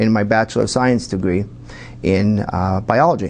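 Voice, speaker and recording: A man speaks with a northeastern Pennsylvania accent. Noticeable background noise can be heard. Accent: northeastern Pennsylvania American. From northeastern Pennsylvania, Wilkes-Barre. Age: 50s. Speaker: pharmacist and political candidate. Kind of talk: TV interview. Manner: halting.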